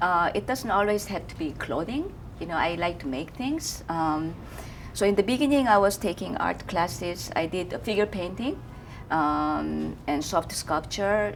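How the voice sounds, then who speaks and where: Speaking at a fairly slow pace, a woman with a Korean accent has a fairly low pitch and lively intonation. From South Korea. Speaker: fashion designer. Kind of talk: interview. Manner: halting.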